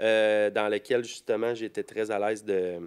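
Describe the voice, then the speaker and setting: The recording of a man is very clean, with a silent background and a dry, close sound with no echo. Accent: Quebec. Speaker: rapper. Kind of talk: casual chat.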